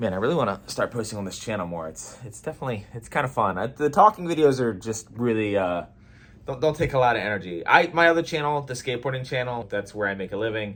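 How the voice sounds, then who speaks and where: Very fast and lively, a man with a medium-pitched voice talks with big swings in loudness. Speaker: skateboarding YouTuber. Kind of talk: casual talking-head vlog.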